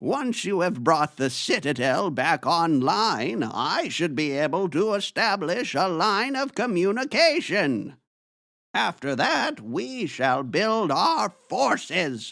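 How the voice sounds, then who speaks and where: In a put-on character voice, a man speaks high and fairly slowly with very wide pitch swings, on a very clean recording with a silent background. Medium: audio drama. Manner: solemn, authoritative.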